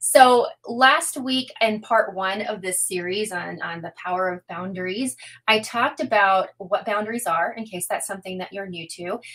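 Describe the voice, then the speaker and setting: Her medium pitch shows ordinary variation as the woman speaks. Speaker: introvert coach. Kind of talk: live webinar talk. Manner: fast.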